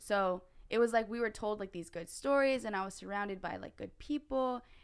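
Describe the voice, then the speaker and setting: With an American accent, a woman speaks at a moderate pace, her fairly high pitch showing ordinary variation. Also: big swings in loudness. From US West Coast (California). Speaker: missionary. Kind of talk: casual chat. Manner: frequent fillers (like, um).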